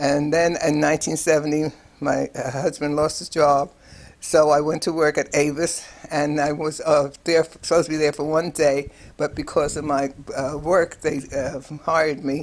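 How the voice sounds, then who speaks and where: This speaker has a New York accent and talks at a moderate pace. The intonation is monotone and flat. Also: woman, very deep, low pitch for a woman. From New York City, Harlem and lower Manhattan. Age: 80s+. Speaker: retired nurse. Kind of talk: personal life story interview. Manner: halting with many fillers and repetitions.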